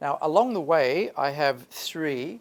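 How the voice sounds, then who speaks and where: In a very clean recording with a silent background, a man talks very slowly in an Australian accent. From Australia, Sydney. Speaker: English teacher. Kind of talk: workshop talk. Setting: stage with audience, PA system.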